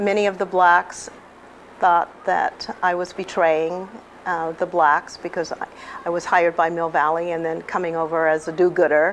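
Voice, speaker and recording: Over noticeable background noise, a woman with an American accent speaks at a moderate pace in a fairly low, monotone, flat voice. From California, Bakersfield. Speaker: retired teacher. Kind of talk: interview; speech.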